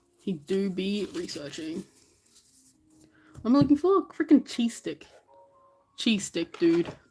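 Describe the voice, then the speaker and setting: A woman with a medium pitch talks in an animated tone at a fairly slow pace, leaving long, frequent pauses. Her pitch swings very widely and her loudness shifts a lot, with music playing in the background. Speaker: streamer sorting trading cards. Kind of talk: casual live stream chat.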